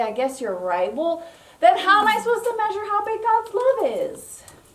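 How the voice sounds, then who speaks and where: An extremely high-pitched woman's voice with very wide pitch swings and audible room echo. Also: big swings in loudness. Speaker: children's ministry leader. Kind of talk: children's church segment. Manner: animated.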